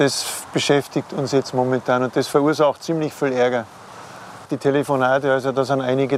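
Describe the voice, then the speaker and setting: A man talks at a medium pitch and a moderate pace with fairly even intonation. Background noise is noticeable. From Upper Palatinate, Bavaria. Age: 50s. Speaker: cemetery manager. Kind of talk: on-site interview.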